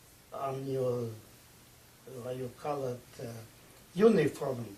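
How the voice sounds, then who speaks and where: This man's words come very slowly. Behind his speech is noticeable background noise. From eastern Czechoslovakia. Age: 80s+. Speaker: Holocaust survivor. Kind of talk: interview by students.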